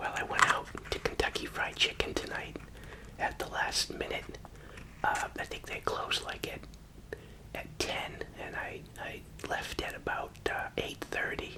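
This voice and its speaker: A whispered voice in a relaxed tone, moving at a fairly slow pace over noticeable background noise. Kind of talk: casual talk to camera while eating, ASMR whisper video. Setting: studio, close-mic ASMR recording. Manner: quiet, whispered, relaxed.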